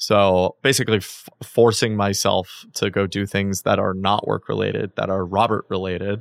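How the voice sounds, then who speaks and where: A man with a fairly low pitch and vocal fry at a moderate pace, in a very clean recording with a silent background. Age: 30s. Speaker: tech startup founder and CEO. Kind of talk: casual interview conversation.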